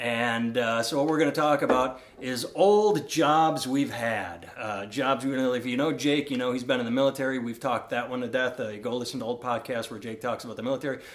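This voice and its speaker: Using a normal speaking voice, a man talks at a fairly quick pace with hardly any pauses and ordinary pitch variation. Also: medium pitch for a man. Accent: American. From Iowa. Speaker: comedian and podcast host. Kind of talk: casual chat. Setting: home recording in co-host's house.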